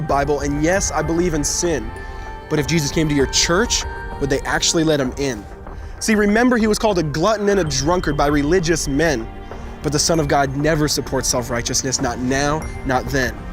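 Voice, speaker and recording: Music runs in the background as a man speaks fairly quickly. His voice is fairly high, with very even loudness. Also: ordinary pitch variation. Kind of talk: spoken word poetry. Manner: rhythmic, rhyming delivery.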